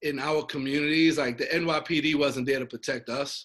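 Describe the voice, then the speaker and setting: In a New York accent, a man talks at a moderate pace. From Brooklyn, New York. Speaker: nonprofit founder. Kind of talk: interview.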